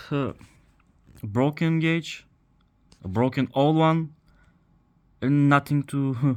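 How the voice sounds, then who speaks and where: A man with a Bulgarian accent, medium pitch and a very slow pace, on a very clean recording with a silent background. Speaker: car repair video maker. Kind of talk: tutorial. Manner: halting.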